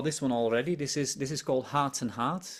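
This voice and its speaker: A man with a Frisian accent on a very clean recording with a silent background. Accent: Dutch (Frisian) English. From Netherlands, Friesland. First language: Dutch or Frisian. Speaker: embroidery designer. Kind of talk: interview chat. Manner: halting, repeats words.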